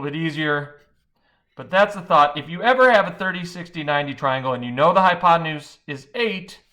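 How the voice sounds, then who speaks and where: The speech comes at a very fast pace with very wide pitch swings. Its tone is bright and sharp. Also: man. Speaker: math teacher. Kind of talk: tutorial.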